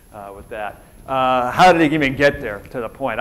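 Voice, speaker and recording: American accent from a man at medium pitch. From Minnesota, US Upper Midwest. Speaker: retired military officer, keynote speaker. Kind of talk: conference keynote talk. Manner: fast; casual, conversational with many fillers.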